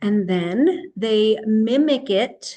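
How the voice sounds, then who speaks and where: A woman in a normal speaking voice, fairly high-pitched, with ordinary pitch variation over a quiet background. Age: 60s. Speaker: health and wellness educator. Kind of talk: educational talk. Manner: casual, conversational.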